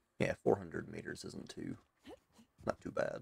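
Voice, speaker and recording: With music in the background and a dry, close sound with no echo, a man in a Southern US accent speaks at a moderate pace. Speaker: gaming streamer. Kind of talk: live gameplay commentary. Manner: casual, conversational.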